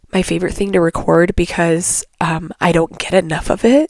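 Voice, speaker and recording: The voice is quiet and monotone, with flat intonation and a fairly slow pace. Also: woman. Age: 30s. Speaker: podcast host. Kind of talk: casual monologue. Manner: hesitant, filler-heavy.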